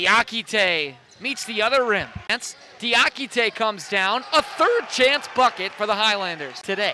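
Over noticeable background noise, a man with a high pitch speaks in an excited tone, his voice raised and projected, his intonation lively and his pace fairly slow. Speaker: basketball broadcaster. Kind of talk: live sports commentary. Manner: excited, punchy exclamations.

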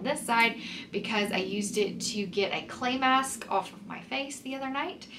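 With audible room echo, a woman speaks at a moderate pace using ordinary pitch variation.

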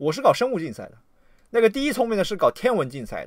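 An animated man talks at a very fast pace with vocal fry and very wide pitch swings. The background is quiet, and the sound is dry with no echo. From China. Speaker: livestreamer and political commentator; livestreamer, political commentator. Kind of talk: livestream rant. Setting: livestream. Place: home room.

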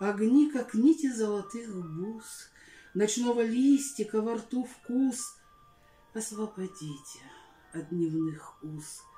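A very slow woman's voice at a fairly high pitch, with long, frequent pauses, big swings in loudness, audible room echo and faint music in the background. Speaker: Russian language and literature teacher. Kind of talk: poetry reading. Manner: heartfelt, expressive. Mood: dramatic, expressive, wistful. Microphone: phone near.

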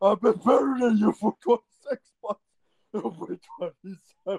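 A man with a high voice talks at a fairly slow pace with ordinary pitch variation. The sound is dry and close, without any echo. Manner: excitable, shouting.

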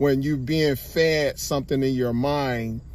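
The voice belongs to a man. Intonation remains fairly even throughout. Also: dry sound with no echo. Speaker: vlogger. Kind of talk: casual vlog chat. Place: car. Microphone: phone near.

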